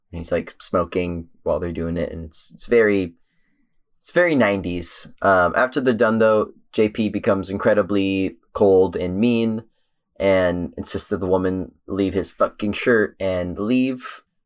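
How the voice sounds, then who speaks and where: Speaking at a fairly slow pace, a man with a fairly low pitch and ordinary pitch variation shows big swings in loudness. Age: 20s. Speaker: podcast co-host. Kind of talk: plot recap in casual chat. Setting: remote call over the internet.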